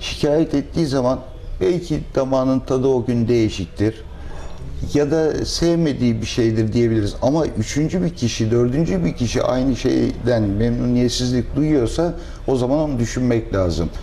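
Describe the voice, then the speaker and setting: Over light background noise, a man speaks with very even loudness and ordinary pitch variation. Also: moderate pace. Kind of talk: interview answer. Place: cafe.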